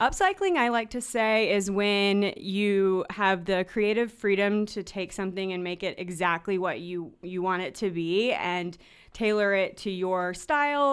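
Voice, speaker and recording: A woman with an American accent speaks slowly in an ordinary speaking voice, with ordinary pitch variation. The recording is very clean, with a silent background. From US South, North Carolina. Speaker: nonprofit education director. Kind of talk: radio interview.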